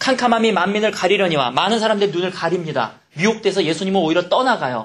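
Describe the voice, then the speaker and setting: Very fast and animated, a man speaks at a high pitch with ordinary pitch variation. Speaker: pastor. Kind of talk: sermon.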